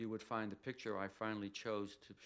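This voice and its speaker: At a moderate pace, a man with an American accent talks at a fairly low pitch in an ordinary speaking voice. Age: 60s. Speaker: photographer. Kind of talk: documentary interview.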